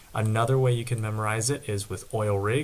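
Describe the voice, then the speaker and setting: This man is soft-spoken. His voice is somewhat breathy. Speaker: student tutor. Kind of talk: tutorial.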